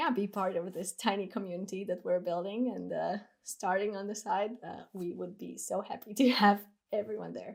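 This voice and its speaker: A woman talks at a medium pitch with vocal fry and ordinary pitch variation. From Latvia. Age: 30s. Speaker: van lifer and content creator. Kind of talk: podcast interview.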